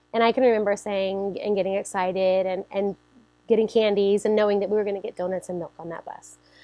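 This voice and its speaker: Loud and very fast, a woman talks with an American accent. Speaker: church member sharing testimony. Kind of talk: testimony. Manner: loud, energetic.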